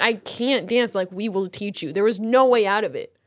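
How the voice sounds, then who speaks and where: A woman's fairly high voice with ordinary pitch variation, a normal speaking voice, on a very clean recording with a silent background. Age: 20s. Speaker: podcast host. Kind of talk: casual chat. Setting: studio.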